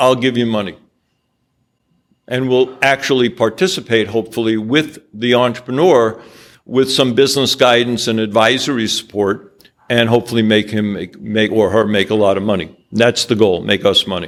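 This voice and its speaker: Here is a man with an American accent and medium pitch. He has a plain, everyday voice with ordinary pitch variation. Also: moderate pace. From New York. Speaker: angel investor. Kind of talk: business presentation with slides.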